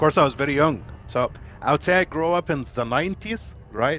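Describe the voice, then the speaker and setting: Using ordinary pitch variation at a moderate pace, a man speaks in a plain, everyday voice. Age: 40s. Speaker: video game streamer. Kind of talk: casual chat.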